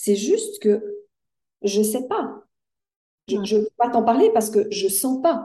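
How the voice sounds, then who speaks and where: Somewhat breathy and dark, mellow in tone, a woman's fairly high voice moves at a very slow pace with ordinary pitch variation and long, frequent pauses. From Switzerland. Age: 60s. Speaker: life coach. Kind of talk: interview.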